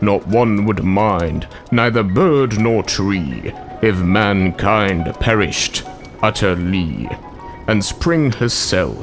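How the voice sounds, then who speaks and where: Over clear music in the background, a man puts on a character voice with a fairly low pitch for a man, speaking at a very slow pace. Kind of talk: poetry reading.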